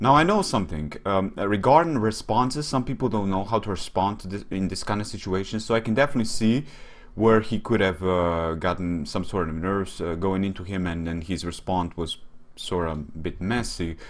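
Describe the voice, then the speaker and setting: A man with a Slovene accent at a fairly low pitch, ordinary pitch variation and a fairly quick pace. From Slovenia. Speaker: YouTube commentator. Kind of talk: casual commentary video. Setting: webcam recording. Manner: hesitant, many fillers.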